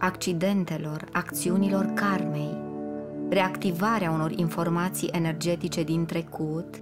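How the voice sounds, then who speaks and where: With music in the background, a woman talks at a fairly low pitch, using ordinary pitch variation. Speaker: audiobook narrator. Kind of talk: spiritual audiobook reading. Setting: studio.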